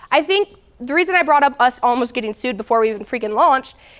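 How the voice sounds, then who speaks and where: Talking at a fairly quick pace, a woman sounds animated, her intonation lively. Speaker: business founder, guest speaker. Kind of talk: talk to students. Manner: fast.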